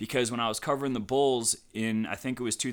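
A man with an American accent and a bright, sharp tone is heard on a very clean recording with a silent background. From Ohio, Cleveland. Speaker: sports journalist. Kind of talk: casual interview.

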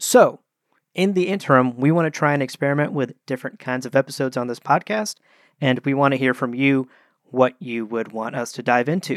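This is a plain, everyday voice with ordinary pitch variation. It moves at a fairly quick pace on a very clean recording with a silent background. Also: man, medium pitch for a man. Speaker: podcast co-host. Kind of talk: casual chat.

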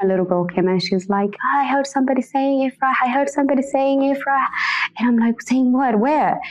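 A woman speaks at a fairly quick pace in a high voice, with lively intonation, very even loudness and noticeable background noise. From Somalia, raised in Kenyan refugee camp. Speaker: refugee and community member. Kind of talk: interview testimony.

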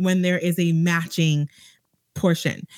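A woman speaks at a fairly slow pace in a normal speaking voice. Her pitch is fairly low, and the sound is dry and close with no echo. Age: 40s. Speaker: personal finance blogger. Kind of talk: casual chat. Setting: remote call from office.

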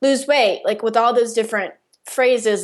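With an unremarkable speaking voice, a woman speaks at a moderate pace and fairly high pitch against a quiet background. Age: 20s. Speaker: podcast host and diet-recovery coach. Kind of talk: interview.

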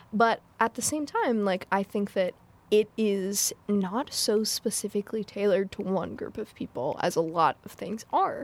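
A woman with a plain, everyday voice speaks at a fairly slow pace, her pitch medium with ordinary variation. The recording is very clean and dry, close with no echo and a silent background. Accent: American. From US. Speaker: video game developer. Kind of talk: casual chat.

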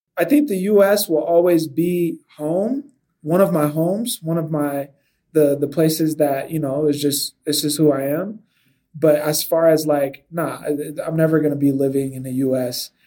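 With a Californian accent, this man talks at a moderate pace in a fairly high pitch, keeping his intonation fairly even. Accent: Californian American English. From Southern California. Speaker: video game developer and sci-fi author. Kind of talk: casual interview.

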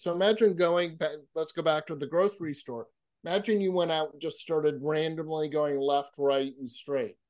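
An unremarkable speaking voice from a man with an American accent, fairly high in pitch with ordinary pitch variation, big swings in loudness and a moderate pace, over a quiet background. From Massachusetts. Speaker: author and public speaker, counselor. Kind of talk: interview conversation.

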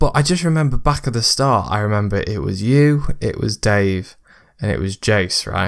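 A man speaks at a moderate pace with lively intonation and a fairly low pitch in a plain, everyday voice, on a very clean recording with a silent background. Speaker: podcast host. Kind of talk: casual interview chat.

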